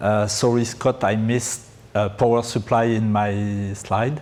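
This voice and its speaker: A man with a French accent speaks in a fairly low pitch with monotone, flat intonation. Audible room echo and noticeable background noise surround him. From France. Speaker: pre-sales engineer. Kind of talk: conference presentation. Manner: halting, many fillers.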